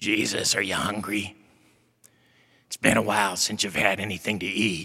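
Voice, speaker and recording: A man puts on a character voice, fairly low and raspy. His intonation stays monotone and flat. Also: moderate pace. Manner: tempting.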